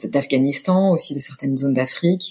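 A woman speaks with a very deep, low pitch. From France, Orléans. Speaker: humanitarian communications director and yoga teacher. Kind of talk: interview. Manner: halting, many fillers and repetitions.

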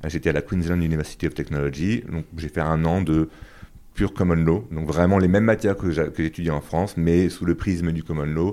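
A dark, mellow tone with fairly even intonation at a moderate pace. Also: man, very deep, low pitch for a man. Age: 30s. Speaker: business lawyer. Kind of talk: interview. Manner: halting, many repetitions and fillers.

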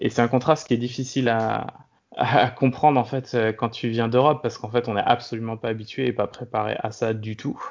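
Here a man talks at a moderate pace. His pitch is medium and his intonation fairly even. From France, Brittany (Brest). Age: 30s. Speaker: serial expat, food industry worker. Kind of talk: interview, casual chat. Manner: halting, many fillers and repetitions.

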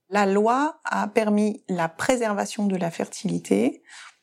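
On a very clean recording with a silent background, a woman is heard talking. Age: 40s. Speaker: gynecologist-obstetrician, fertility doctor. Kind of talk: interview testimony. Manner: hesitant, with fillers and repetitions.

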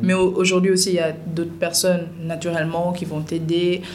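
A woman's fairly low, monotone voice with flat intonation at a fairly slow pace, with audible room echo and noticeable background noise. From Senegal, Dakar. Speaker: content creator and TV presenter. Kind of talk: podcast interview.

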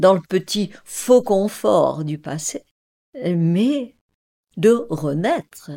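Heard on a very clean recording with a silent background, a woman speaks with lively intonation. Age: 80s+. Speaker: mediator, former numismatics researcher. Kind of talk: interview.

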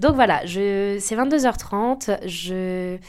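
A woman speaks. Her pitch sits in the medium range. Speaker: life coach and podcast host. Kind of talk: personal testimony monologue. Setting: indoor home office. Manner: hesitant, many fillers.

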